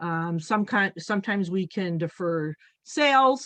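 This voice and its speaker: Against a quiet background, a woman's medium-pitched voice comes through dry and close, with no echo. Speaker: farm business management educator. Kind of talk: webinar presentation. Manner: halting with fillers.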